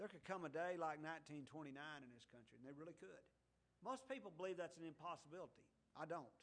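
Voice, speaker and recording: A man with an unremarkable speaking voice, fairly high pitch, lively intonation and big swings in loudness. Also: fairly quick pace. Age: 60s. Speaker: preacher. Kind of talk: sermon. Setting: church.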